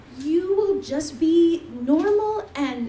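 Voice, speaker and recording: In an American accent, a woman speaks with very wide pitch swings, with audible room echo. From US West Coast, Bay Area. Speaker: event host. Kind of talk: stage introduction. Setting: stage with audience. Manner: animated.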